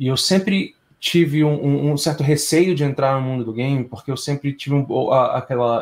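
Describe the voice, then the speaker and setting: The man's voice is somewhat breathy, with ordinary pitch variation. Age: 30s. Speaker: game audio sound designer. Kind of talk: casual interview chat.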